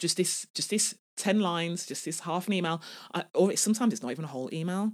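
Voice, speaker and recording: An animated tone at a very fast pace, in a very clean recording with a silent background. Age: 40s. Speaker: podcast host and life coach. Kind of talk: casual solo podcast monologue.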